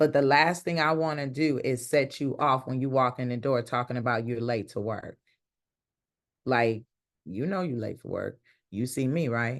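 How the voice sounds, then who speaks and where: Over a quiet background, the speaker talks at a moderate pace in an animated tone, with long, frequent pauses. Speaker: leadership speaker. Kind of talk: interview. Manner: loud.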